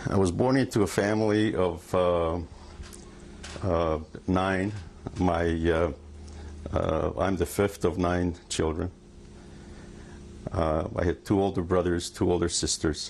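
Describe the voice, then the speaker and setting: With long, frequent pauses, a man talks at a fairly slow pace in a very deep, low voice, keeping very even loudness and fairly even intonation. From Hungary. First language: Hungarian. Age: 60s. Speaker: Holocaust survivor. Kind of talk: testimony. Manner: halting.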